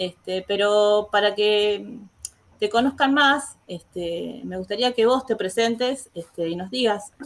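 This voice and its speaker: A woman talks at a fairly slow pace in an Argentine accent. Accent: Argentine Spanish (voseo, 'este' filler). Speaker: teacher, interview host. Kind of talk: interview. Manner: hesitant, frequent 'este' fillers.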